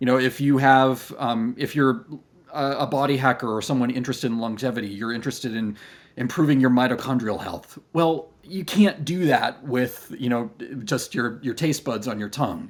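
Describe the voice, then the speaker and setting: A man with an American accent speaks at a medium pitch and moderate pace, his pitch varying in an ordinary way. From United States. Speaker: clinical research company founder. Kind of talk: podcast interview. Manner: hesitant, many fillers and restarts.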